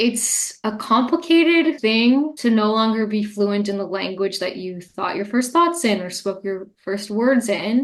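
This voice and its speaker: With a Montreal accent, a woman speaks fairly slowly in a fairly high pitch, her intonation lively. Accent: Montreal English-speaking Canadian. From Montreal, Quebec, Canada. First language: Italian. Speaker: poet and English teacher. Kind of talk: interview conversation.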